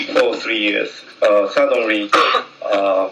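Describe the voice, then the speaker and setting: A man with a Japanese accent speaks in a room with audible echo and noticeable background noise. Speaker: jazz trumpet player. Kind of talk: public meeting speech. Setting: community meeting hall. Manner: halting.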